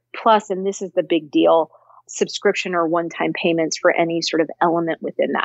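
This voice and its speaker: A woman speaks with a Californian accent. Her pace is fairly quick. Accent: General American, Californian. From US West Coast, Cupertino, California. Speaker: tech company founder and CEO. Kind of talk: interview.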